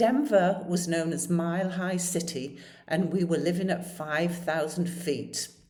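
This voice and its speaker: A woman with a British accent speaks at a fairly slow pace, her pitch fairly low with ordinary variation. Noticeable background noise and audible room echo fill the recording. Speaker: storyteller. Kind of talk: personal storytelling.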